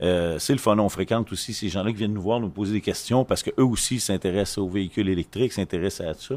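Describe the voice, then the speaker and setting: With a Quebec accent, a man talks very fast at a fairly low pitch, with hardly any pauses. His pitch varies in an ordinary way. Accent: Québécois French. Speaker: association vice-president. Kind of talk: casual group discussion. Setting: makeshift studio at an event.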